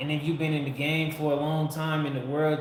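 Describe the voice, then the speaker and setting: A man talks at a fairly quick pace and a fairly high pitch, with monotone, flat intonation. Audible room echo and noticeable background noise surround him. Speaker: livestream host. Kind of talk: casual livestream chat. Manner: occasional slurring and stutters.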